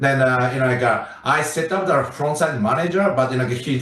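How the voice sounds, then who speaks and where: With a Japanese accent, a man speaks at a fairly quick pace and medium pitch amid audible room echo and noticeable background noise. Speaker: restaurant owner. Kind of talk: public hearing testimony. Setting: hybrid video meeting. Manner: halting, many fillers.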